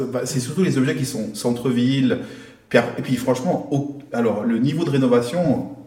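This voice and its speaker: A man talks at a moderate pace and medium pitch with fairly even intonation, audible room echo and noticeable background noise. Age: 30s. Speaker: mortgage credit manager. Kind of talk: casual chat.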